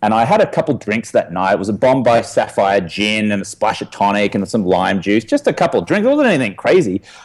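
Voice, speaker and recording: A man talks at a fairly quick pace, his tone animated and his intonation lively. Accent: Australian. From Australia. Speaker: podcast guest, former drinker. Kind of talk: interview conversation. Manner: animated storytelling.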